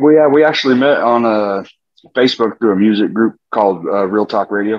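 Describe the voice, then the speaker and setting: A man speaks at a fairly quick pace with a slight Southwestern US accent. His pitch is medium, with ordinary variation. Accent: slight southwestern US twang. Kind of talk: casual interview.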